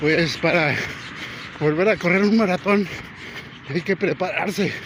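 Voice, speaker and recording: Over noticeable background noise, a man with a high pitch talks at a fairly slow pace, his intonation fairly even and his loudness very even. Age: 60s. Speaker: vlogger and amateur runner. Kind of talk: casual vlog narration while jogging. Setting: outdoors on a seaside boardwalk.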